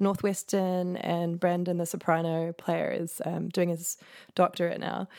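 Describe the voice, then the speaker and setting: In a New Zealand accent, a woman with a fairly low pitch and a dark, mellow tone speaks at a moderate pace in a flat monotone, on a very clean recording with a silent background. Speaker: composer. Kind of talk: casual interview.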